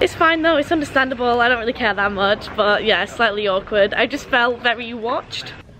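The speech moves at a fairly quick pace with ordinary pitch variation. Light background noise can be heard. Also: woman. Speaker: vlogger. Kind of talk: casual vlog chat.

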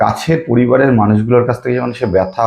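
This man's voice is somewhat breathy. The pitch moves in an ordinary way. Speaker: astrologer. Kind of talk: video monologue.

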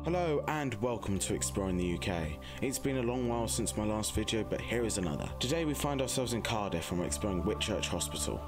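A man's fairly low voice at a very fast pace, very even in loudness, with very wide pitch swings and music in the background. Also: hardly any pauses. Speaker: urban explorer, channel host. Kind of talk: history narration intro.

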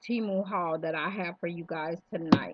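Recorded with a dry sound, no echo, and light background noise, a woman speaks in a normal speaking voice that is fairly low in pitch, at a fairly slow pace with fairly even intonation. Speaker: vlogger. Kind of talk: casual vlog chat. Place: home room. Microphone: webcam.

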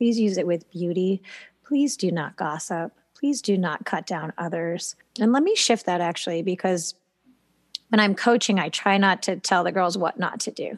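An unremarkable speaking voice from a woman, medium in pitch, with ordinary pitch variation, a moderate pace, and a dry, close sound with no echo over a quiet background. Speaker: podcast co-host and gymnastics coach. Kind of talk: casual chat.

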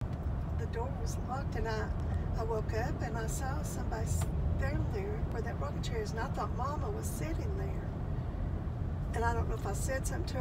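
Speech comes at a fairly quick pace beneath loud background noise. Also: woman. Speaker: storyteller. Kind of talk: personal ghost story told in conversation. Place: car. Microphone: phone near.

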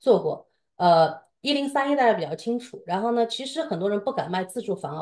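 A woman speaks with a dark, mellow tone and very wide pitch swings. The background is quiet. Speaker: co-host of the seminar, professional advisor; co-host of the seminar. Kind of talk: seminar intro and commentary. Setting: online seminar, video call with screen sharing. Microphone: video call.

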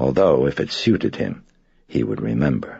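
A man's voice with vocal fry and very wide pitch swings, at a moderate pace over a quiet background. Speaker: author reading own novel. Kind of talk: audiobook narration.

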